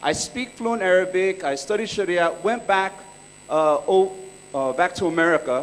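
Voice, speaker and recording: A man with a high pitch talks at a moderate pace, his pitch varying in an ordinary way. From California. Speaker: entrepreneur and workshop speaker. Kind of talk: conference talk. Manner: casual, joking.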